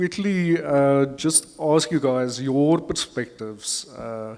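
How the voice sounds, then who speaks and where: With an Afrikaans accent, a man speaks very slowly. His intonation is lively. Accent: Afrikaans-inflected English. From South Africa. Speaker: panel facilitator. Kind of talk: panel discussion moderation. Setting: conference stage with audience.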